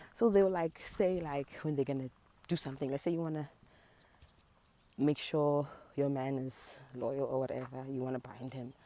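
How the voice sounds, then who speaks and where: Long, frequent pauses break up this woman's speech, her dark, mellow tone sitting at a very deep, low pitch with ordinary pitch variation. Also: moderate pace. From South Africa, Durban. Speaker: spiritual practitioner, video blogger. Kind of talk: casual talk to camera. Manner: hesitant, many fillers.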